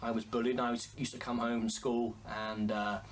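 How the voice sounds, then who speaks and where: With an English accent, a man talks at a moderate pace. His pitch sits in the medium range. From England. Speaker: singer and pianist. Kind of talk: interview. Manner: halting.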